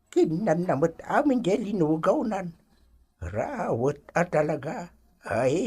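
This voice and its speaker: Putting on a character voice, a woman talks at a very slow pace in a fairly low pitch, with very wide swings in pitch. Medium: audio drama. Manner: chatty, laughing.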